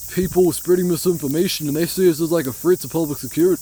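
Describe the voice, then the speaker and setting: Speech races along at a very fast pace while background noise stays noticeable. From New Zealand. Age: 20s. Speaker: conspiracy commentary YouTuber. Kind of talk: casual monologue to camera. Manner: rambling with many fillers.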